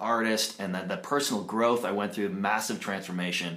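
Audible room echo surrounds a man's voice. He speaks at a very fast pace with a Canadian accent. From Canada, Toronto. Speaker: jingle writer and mindset coach. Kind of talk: casual interview chat. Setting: office.

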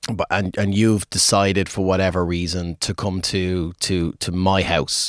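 A man with an Irish accent speaks at a moderate pace in a very deep, low pitch. His intonation is fairly even, and the sound is dry and close with no echo. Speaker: pub and music venue owner. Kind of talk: casual interview chat.

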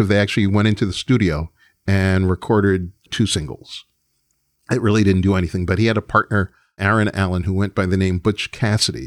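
In a very clean recording with a silent background and a dry, close sound with no echo, a man with a plain, everyday voice speaks at a fairly low pitch, with fairly even intonation and very even loudness. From New York. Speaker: music producer and record executive. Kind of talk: interview storytelling.

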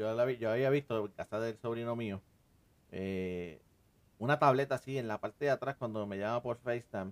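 This man has an ordinary speaking voice, medium in pitch with ordinary pitch variation. He talks at a fairly quick pace, and the sound is dry and close with no echo. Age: 40s. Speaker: podcast host. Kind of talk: casual chat.

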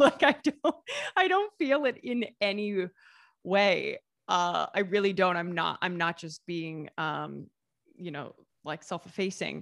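In an unremarkable speaking voice, a woman talks at a fairly slow pace with lively intonation and big swings in loudness, in a very clean recording with a silent background. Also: medium pitch for a woman, dry, close sound with no echo. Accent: American. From US Midwest, Southeast Ohio. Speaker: food writer and YouTuber. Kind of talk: interview.

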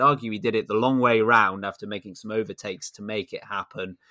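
In a British accent, a man speaks at a fairly quick pace and fairly low pitch, with a bright, sharp tone, fairly even intonation, and a dry, close sound with no echo. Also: very clean recording, silent background. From Britain. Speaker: F1 podcast host. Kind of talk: casual chat.

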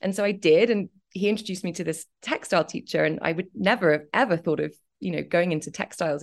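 Talking at a very fast pace, a woman has a slight English accent and a fairly low pitch with vocal fry. Her pitch varies in an ordinary way. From Cambridge, England. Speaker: fashion designer and brand founder. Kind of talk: casual interview chat.

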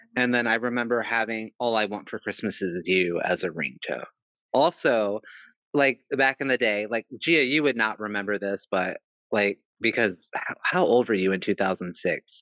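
A man's normal speaking voice, medium in pitch, with ordinary pitch variation at a moderate pace. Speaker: podcast co-host. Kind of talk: casual chat.

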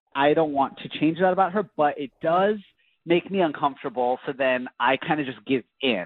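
A man's normal speaking voice, fairly high in pitch, with ordinary pitch variation at a moderate pace. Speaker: caller. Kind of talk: casual chat. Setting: phone call.

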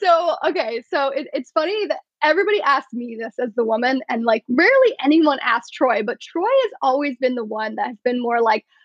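Speaking at a fairly quick pace with hardly any pauses, a woman uses lively intonation in a high voice. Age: 30s. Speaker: podcast guest in a long-term relationship. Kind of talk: casual chat.

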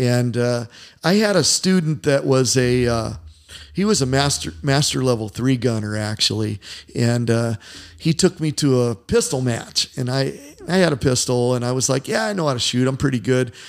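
A man's medium-pitched voice with an American accent, a plain, everyday voice, at a moderate pace with lively intonation. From US Midwest, Indiana. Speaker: martial arts coach and former fighter. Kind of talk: casual interview chat. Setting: in his gym.

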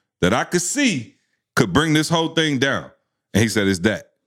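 The voice has an animated tone with vocal fry. It moves at a moderate pace. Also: man. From Lansing, Michigan. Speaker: motivational speaker. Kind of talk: casual chat.

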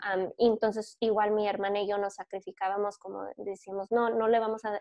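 A woman at medium pitch talks with monotone, flat intonation. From US, born in California, raised in Michigan. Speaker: podcast co-host and teacher. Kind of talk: interview.

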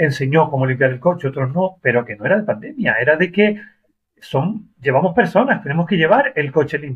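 A plain, everyday voice at a moderate pace, with lively intonation. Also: man. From Argentina, Mendoza. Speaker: rideshare driver. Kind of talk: interview.

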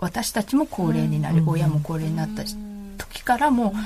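The voice is a woman's. Behind it, background noise is noticeable. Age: 40s. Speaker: mother of a toddler. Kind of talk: casual chat. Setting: studio.

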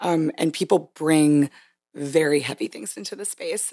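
In an American accent, a woman with a very deep, low pitch talks at a fairly slow pace, the sound dry and close with no echo. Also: very clean recording, silent background. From US military bases, no fixed hometown. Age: 30s. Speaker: fitness instructor. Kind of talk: casual chat.

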